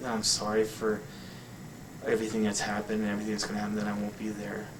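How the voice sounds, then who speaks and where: A very fast-talking man with a fairly low pitch, amid audible room echo and noticeable background noise. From New England. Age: 40s. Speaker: interviewee with heart disease. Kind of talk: personal testimony interview. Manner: halting.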